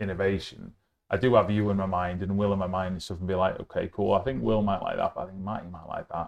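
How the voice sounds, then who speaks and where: A man with a Yorkshire accent, fairly low pitch and a very fast pace, over a quiet background. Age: 40s. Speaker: podcast host, food supplier. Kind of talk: casual chat. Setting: on location at a hotel.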